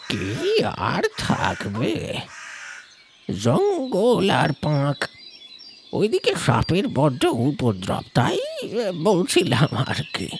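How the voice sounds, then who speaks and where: A man puts on a character voice, pitched fairly high, and drags his words out very slowly. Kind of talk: horror narration. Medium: read story. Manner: hushed, secretive.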